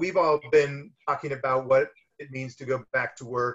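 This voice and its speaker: A man with a fairly high, somewhat breathy voice speaks with an American accent. His pace is moderate. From US, Miami. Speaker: film producer; guest. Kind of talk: casual interview. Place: home room. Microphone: webcam.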